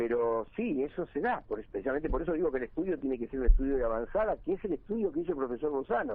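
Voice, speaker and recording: A fairly high-pitched man's voice with very wide pitch swings, very fast and with hardly any pauses. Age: 70s. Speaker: local community leader. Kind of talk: radio interview.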